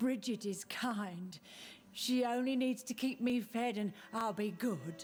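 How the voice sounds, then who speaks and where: A female-sounding voice puts on a character voice at a fairly high pitch and a fairly slow pace. Background noise is clearly audible. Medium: video game. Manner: eerie, unsettling.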